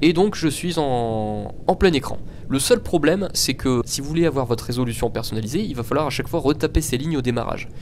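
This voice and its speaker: A man speaks at a fairly quick pace while music plays behind him. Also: fairly high pitch for a man, lively intonation. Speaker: tech tutorial youtuber. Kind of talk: screen-recorded tutorial. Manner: casual, with hesitations.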